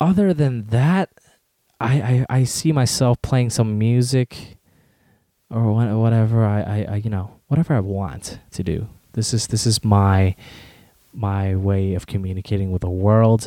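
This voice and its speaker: A man in a Californian accent, dark and mellow in tone, medium in pitch, at a fairly slow pace with ordinary pitch variation. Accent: Californian American. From Southern California. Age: 20s. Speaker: podcaster and university student. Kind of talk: solo casual monologue. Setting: home bedroom. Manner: hesitant, many fillers.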